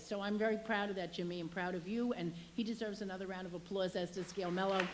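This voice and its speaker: A woman with a medium pitch talks very fast over noticeable background noise. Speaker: state legislator. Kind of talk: public speech.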